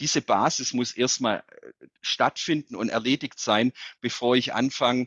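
A man with a normal speaking voice talks at a fairly slow pace, his medium pitch showing ordinary variation. The recording is very clean, with a silent background and a dry, close sound with no echo. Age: 30s. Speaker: mayor. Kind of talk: interview.

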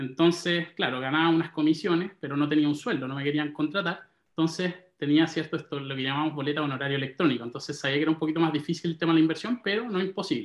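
A man speaks at a very fast pace in a Chilean accent. His pitch is fairly high, with ordinary variation. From Chile, Santiago. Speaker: real estate investor. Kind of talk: interview.

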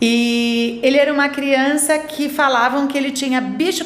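A high-pitched woman at a fairly slow pace, with audible room echo and noticeable background noise. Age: 50s. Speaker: school owner and educator. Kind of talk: interview.

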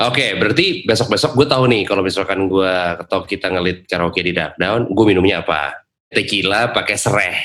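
Here a man talks at a fairly quick pace with a bright, sharp tone. His pitch is fairly low, with ordinary variation. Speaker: radio announcer and podcast host. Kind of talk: casual chat between friends.

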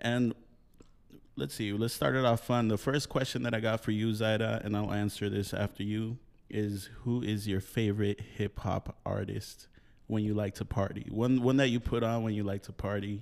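An ordinary speaking voice from a man, fairly low in pitch, at a moderate pace with fairly even intonation. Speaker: podcast host, DJ. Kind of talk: casual chat podcast.

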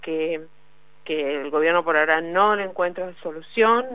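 A woman with a fairly low pitch talks at a moderate pace with ordinary pitch variation in an unremarkable speaking voice. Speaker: journalist covering labor politics. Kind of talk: radio interview segment.

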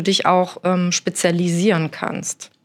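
A woman at medium pitch, moderate pace. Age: 40s. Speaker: architect. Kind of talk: interview. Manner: hesitant, many fillers.

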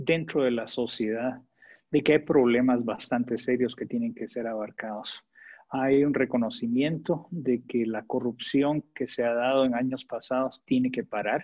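This man talks at a fairly slow pace with a medium pitch. His intonation stays fairly even. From Guatemala. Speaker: development agency director. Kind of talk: interview. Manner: hesitant, many fillers.

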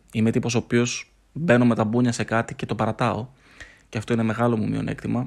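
A man speaks with monotone, flat intonation. Vocal fry runs through his voice. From Greece, Thessaloniki. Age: 30s. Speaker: podcast host. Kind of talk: solo podcast monologue. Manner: unscripted, halting with fillers.

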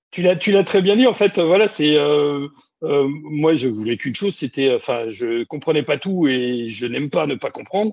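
At a moderate pace, a man talks with a fairly high pitch and lively intonation. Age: 50s. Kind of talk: casual interview.

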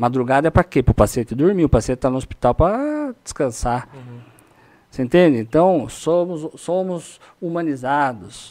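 The voice has a dark, mellow tone and lively intonation at a moderate pace, with big swings in loudness. The sound is dry and close, with no echo. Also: man, fairly high pitch for a man. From Brazil, São Paulo state (Itu/Sorocaba). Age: 40s. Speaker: oncologist. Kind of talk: podcast interview.

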